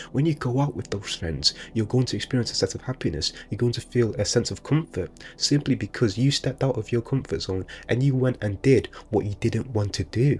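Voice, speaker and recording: The pace is fairly quick, with ordinary pitch variation. There is vocal fry in the voice. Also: man, medium pitch for a man. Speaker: motivational speaker. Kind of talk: motivational monologue. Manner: casual, unscripted; occasional stutter.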